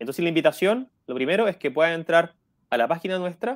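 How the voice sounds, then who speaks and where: A man's voice with very wide pitch swings, over a quiet background. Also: dry sound with no echo. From Chile. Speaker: education program coordinator. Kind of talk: radio interview. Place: home room. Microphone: earbuds.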